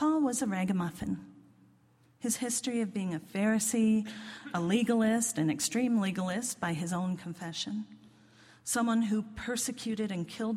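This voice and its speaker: Somewhat breathy, a woman with an American accent talks at a moderate pace and medium pitch with ordinary pitch variation. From US, northern Virginia (Washington DC suburbs). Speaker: lay preacher. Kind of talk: sermon.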